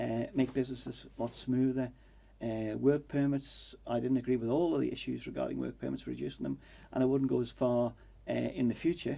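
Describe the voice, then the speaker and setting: A man speaks with a Manx accent. His pace is fairly quick. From Isle of Man. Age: 60s. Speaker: election candidate. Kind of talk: political interview. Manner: halting, many fillers.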